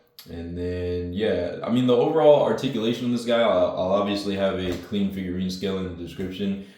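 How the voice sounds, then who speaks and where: There is audible room echo around a man's voice. He talks at a fairly quick pace with fairly even intonation. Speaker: toy collector YouTuber. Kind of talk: product review. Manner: casual, filler-heavy.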